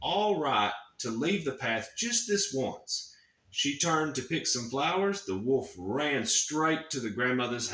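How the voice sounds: Lively intonation colors a natural reading voice.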